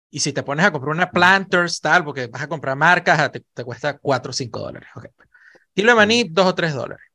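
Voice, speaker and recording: Speaking at a fairly quick pace, a man uses lively intonation, his tone bright and sharp and his pitch high. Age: 40s. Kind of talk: casual chat.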